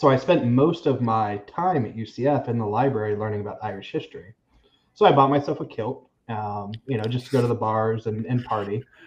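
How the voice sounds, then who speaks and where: A somewhat breathy man with an American accent at a fairly quick pace. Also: medium pitch for a man, ordinary pitch variation. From Florida, Seminole County. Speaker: realtor. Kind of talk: casual chat.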